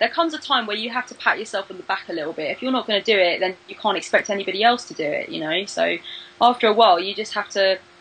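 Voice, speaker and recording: Amid noticeable background noise, a woman with a British accent races along at a very fast pace, her medium pitch carrying lively intonation and big swings in loudness. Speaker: tarot reader and video creator. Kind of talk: interview. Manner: animated.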